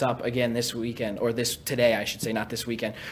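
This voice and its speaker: Noticeable background noise under a man's very fast talking. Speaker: broadcaster, game host. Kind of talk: sports broadcast host segment.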